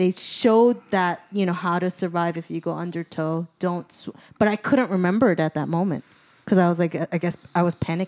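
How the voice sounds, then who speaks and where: Recorded very cleanly with a silent background and a dry, close sound with no echo, a woman with a fairly low pitch talks fairly quickly with ordinary pitch variation. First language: not English. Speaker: comedian, podcast co-host. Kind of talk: casual chat, storytelling.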